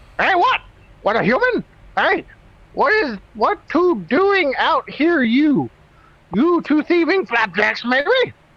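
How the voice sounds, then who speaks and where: In a put-on character voice with high pitch and very wide pitch swings, the speaker goes at a fairly slow pace with long, frequent pauses. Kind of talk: clipped, broken grammar. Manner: gruff, suspicious, broken speech.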